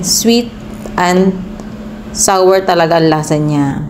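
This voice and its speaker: The very slow speech comes through audible room echo and noticeable background noise. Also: woman. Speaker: cooking vlogger. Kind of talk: cooking tutorial.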